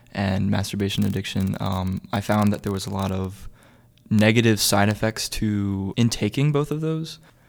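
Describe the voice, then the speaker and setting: Fairly low in pitch, a man speaks in a plain, everyday voice. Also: very clean recording, silent background. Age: young. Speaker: college student. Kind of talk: personal testimony.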